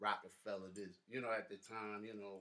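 A man with a bright, sharp tone and monotone, flat intonation. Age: 30s. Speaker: rapper. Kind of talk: interview.

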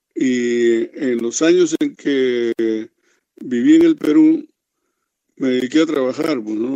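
Very slowly, a male speaker gets his words out. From Peru. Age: 70s. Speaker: veteran rock bassist. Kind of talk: interview. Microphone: connection dropped.

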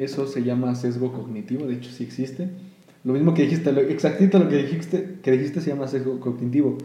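A man with a Mexican accent talks at a very fast pace, his pitch medium with ordinary variation. Audible room echo surrounds his voice. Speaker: podcast host. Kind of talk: casual chat.

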